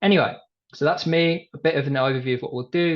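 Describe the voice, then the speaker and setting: Against a quiet background, a man with a British accent speaks at a fairly quick pace with vocal fry. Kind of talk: webinar presentation. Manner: fast.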